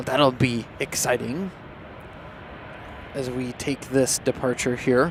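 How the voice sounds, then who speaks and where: A man at medium pitch with fairly even intonation, a very slow pace and long, frequent pauses, over noticeable background noise. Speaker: plane spotting livestream commentator. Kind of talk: live commentary.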